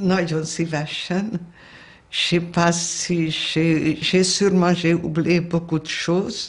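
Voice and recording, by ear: A woman's slow, fairly low-pitched voice in a Hungarian accent, with fairly even intonation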